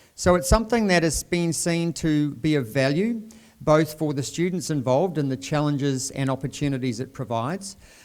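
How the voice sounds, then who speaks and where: Very clean with a silent background, the recording carries a fairly quick pace and lively intonation in a New Zealand accent. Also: man, fairly high pitch for a man. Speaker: dean of graduate research. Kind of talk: formal event hosting speech. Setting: university event with audience.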